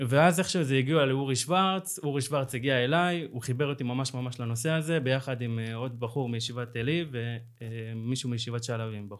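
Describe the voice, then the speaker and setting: With hardly any pauses, a man speaks at a moderate pace and a medium pitch. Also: ordinary pitch variation. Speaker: co-founder of a social movement. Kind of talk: interview. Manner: halting.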